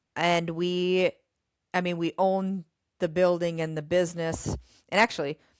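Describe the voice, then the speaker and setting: A woman speaks with an Upper Midwest accent at a fairly low pitch, a moderate pace and a monotone, flat delivery, leaving long, frequent pauses. The sound is dry and close with no echo, and the recording is very clean with a silent background. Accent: Upper Midwest American. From Minnesota (Goodview, near Winona). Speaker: gym owner and fitness trainer. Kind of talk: casual interview chat. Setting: live stream interview.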